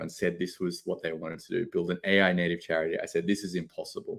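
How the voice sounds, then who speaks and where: Talking at a very fast pace, a man with an Australian accent is heard on a very clean recording with a silent background. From Australia, Sydney. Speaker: tech company CEO presenting at a conference. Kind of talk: conference presentation. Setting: conference stage.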